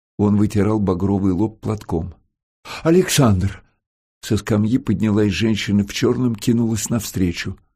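In a natural reading voice with fairly even intonation, someone reads over a quiet background.

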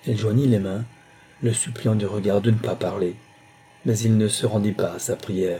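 Fairly even intonation while reading aloud in a natural voice.

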